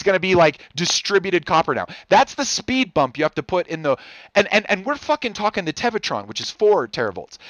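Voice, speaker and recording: With very wide pitch swings, a man talks at a very fast pace in an animated tone and a high pitch. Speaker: podcast co-host. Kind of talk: casual chat.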